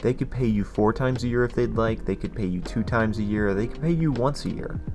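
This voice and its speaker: A man speaks very fast at a medium pitch, with ordinary pitch variation. Music plays in the background. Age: young. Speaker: finance YouTuber. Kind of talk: casual talk to camera.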